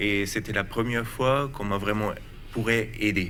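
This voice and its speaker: There is audible room echo around a man with a German accent. His fairly low voice has a bright, sharp tone. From Germany. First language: German (speaking French). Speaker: researcher. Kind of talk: TV talk show interview. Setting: TV studio. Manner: halting, hesitant.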